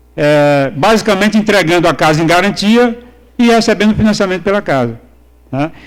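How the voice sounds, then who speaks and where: Lively in intonation, a man with a high pitch talks at a fairly quick pace with very even loudness. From Brazil, Northeast. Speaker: economics professor. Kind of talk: conference lecture. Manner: halting, many fillers and repetitions.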